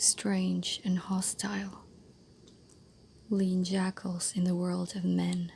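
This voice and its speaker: Soft-spoken and gentle in tone, this voice moves at a very slow pace. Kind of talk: soft-spoken ASMR book reading for sleep. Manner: soft-spoken, gentle.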